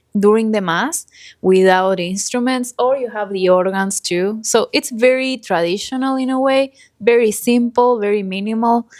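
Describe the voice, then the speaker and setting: On a very clean recording with a silent background, a woman with an Argentine accent speaks at a moderate pace with ordinary pitch variation. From Argentina, Buenos Aires. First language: Spanish. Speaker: podcast co-host. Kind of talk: casual chat.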